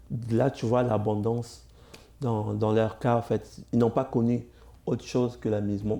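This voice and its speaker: With an African accent, a man speaks fairly slowly in a dark, mellow tone at medium pitch, his loudness very even and his intonation flat and monotone. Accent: non-Quebec accent, African. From Congo, moved to Cuba at 7. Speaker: comedian. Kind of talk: interview.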